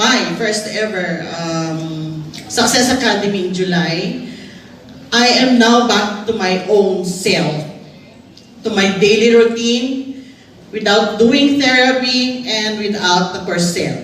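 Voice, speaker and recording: A woman speaks at medium pitch and a very slow pace. Audible room echo and noticeable background noise fill the recording. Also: ordinary pitch variation. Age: 60s. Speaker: physician. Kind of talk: testimony. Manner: halting.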